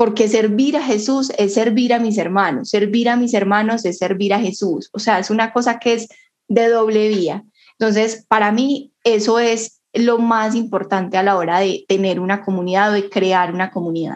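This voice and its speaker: A woman's normal speaking voice at a fairly high pitch, a moderate pace and fairly even intonation. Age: 20s. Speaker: student. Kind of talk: casual conversation.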